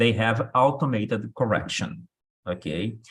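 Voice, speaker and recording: With a Brazilian accent, a man speaks at medium pitch with vocal fry. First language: Portuguese. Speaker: English test instructor. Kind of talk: online workshop lecture. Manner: hesitant, many fillers.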